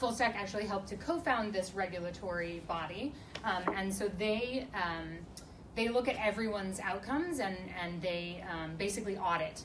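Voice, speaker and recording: A woman talks at a moderate pace, her pitch varying in an ordinary way, while noticeable noise sits in the background. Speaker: panelist. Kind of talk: Q&A panel answer. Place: meeting room. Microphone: camera far.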